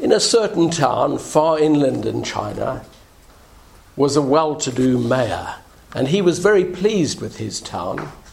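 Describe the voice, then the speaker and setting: A man with a fairly high pitch uses lively intonation while noticeable background noise runs behind him. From South Africa. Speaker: minister. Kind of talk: sermon. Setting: church.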